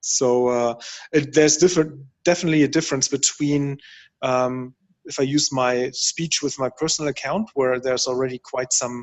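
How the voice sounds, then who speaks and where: A man talks at a moderate pace with a fairly high pitch. His intonation stays fairly even. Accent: German. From Germany. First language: German. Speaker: workshop participant. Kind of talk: workshop discussion. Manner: halting.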